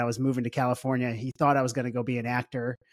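A man's medium-pitched voice with an American accent, in a dry, close sound with no echo. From US Midwest, St. Louis, Missouri. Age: 40s. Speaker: entrepreneur, wealth tech CEO. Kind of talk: casual interview chat.

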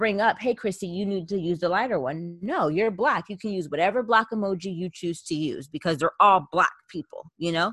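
A woman's ordinary speaking voice at medium pitch, moderate pace and ordinary pitch variation, in dry, close sound with no echo. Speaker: podcast co-host. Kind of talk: casual chat.

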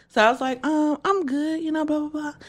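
The recording is very clean, with a silent background. A woman is speaking. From Shreveport, Louisiana. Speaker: hairstylist and podcast host. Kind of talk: casual chat.

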